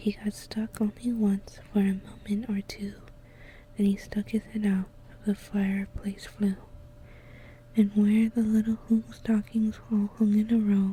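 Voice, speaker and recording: A soft-spoken, whispering voice moves at a fairly slow pace. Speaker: ASMR content creator. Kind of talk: ASMR storybook reading. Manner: soft-spoken, whispered.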